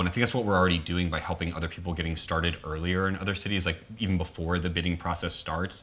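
Speech comes very fast with an American accent. The intonation stays flat and monotone. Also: man. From New Orleans, US South. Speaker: activist. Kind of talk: casual interview.

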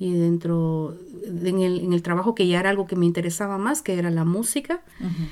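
A woman is speaking. She has a Guatemalan accent. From Guatemala, Zacapa region. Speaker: activist musician and family counsellor. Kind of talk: interview, personal life story. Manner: halting, many fillers and restarts.

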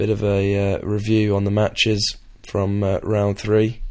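A man's fairly low-pitched voice in an English accent, with monotone, flat intonation. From England. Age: young. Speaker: podcast host, student rugby player. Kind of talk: casual monologue. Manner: hesitant, many fillers.

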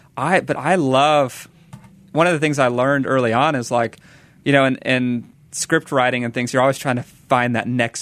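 Talking at a moderate pace, a man with an unremarkable speaking voice keeps a medium pitch and ordinary pitch variation. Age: 20s. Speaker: evangelism director and ministry co-founder. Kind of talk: interview. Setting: radio studio.

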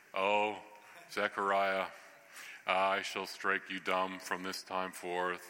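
A man does a put-on character voice, very deep and low in pitch, speaking at a very slow pace in a monotone, flat intonation with long, frequent pauses over clear background noise. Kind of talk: formal, archaic.

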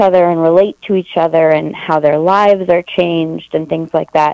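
A woman with an Upper Midwest accent speaks with ordinary pitch variation, the sound dry and close with no echo. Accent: Upper Midwest American. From Wisconsin, Eau Claire. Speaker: arts administrator. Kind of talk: radio interview.

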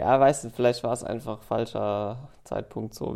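A man's mid-range voice moves along somewhat briskly. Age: 20s. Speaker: recurring podcast guest. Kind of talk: casual chat. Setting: office studio.

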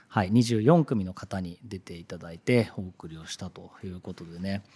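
An ordinary speaking voice at a moderate pace, in a very clean recording with a silent background. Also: man. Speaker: radio host and art director. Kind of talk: casual radio monologue.

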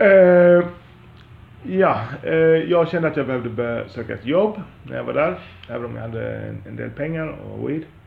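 Long, frequent pauses from a man, with audible room echo and noticeable background noise. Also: moderate pace, big swings in loudness. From Sweden, Lund. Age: 40s. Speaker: podcaster. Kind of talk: monologue. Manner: halting.

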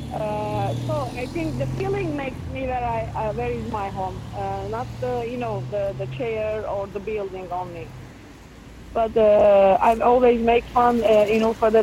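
A woman with a very deep, low pitch and very wide pitch swings at a fairly slow pace, with audible room echo and noticeable background noise. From Ufa, Russia (Bashkortostan). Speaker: performance participant. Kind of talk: casual conversation while walking.

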